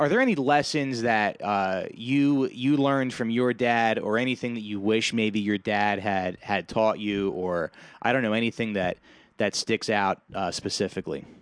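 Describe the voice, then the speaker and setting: A man with an American accent talks at a moderate pace in a medium pitch. It is an unremarkable speaking voice, with ordinary pitch variation. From New Jersey. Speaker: podcast host, new father. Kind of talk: casual chat.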